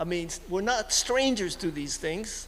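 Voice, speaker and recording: Speaking at a fairly slow pace, a man with a Hawaiian accent makes very wide pitch swings. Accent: Hawaiian local English. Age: 70s. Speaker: community meeting participant. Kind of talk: public comment at community meeting. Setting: community center meeting. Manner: halting.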